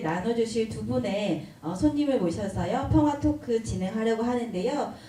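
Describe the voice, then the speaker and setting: Noticeable background noise and audible room echo surround a woman speaking at a fairly high pitch with ordinary pitch variation. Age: 50s. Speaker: event moderator. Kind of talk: event hosting talk.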